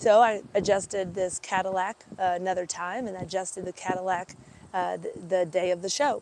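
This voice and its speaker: Noticeable noise runs in the background. A woman talks over it at a moderate speed. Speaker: animal chiropractor. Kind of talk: casual storytelling live stream. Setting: outdoors, parked by fairgrounds. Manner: animated.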